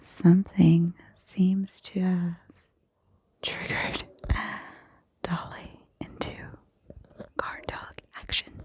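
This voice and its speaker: Someone is whispering at a very slow pace. The pauses are long and frequent. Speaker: ASMR creator. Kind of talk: ASMR whisper ramble. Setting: outdoors. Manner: whispered.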